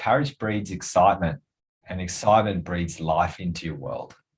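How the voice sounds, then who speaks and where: A man talks with an Australian accent at a moderate pace. His voice is very deep and low, and somewhat breathy. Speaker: podcast host and wellness coach. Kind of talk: casual interview chat.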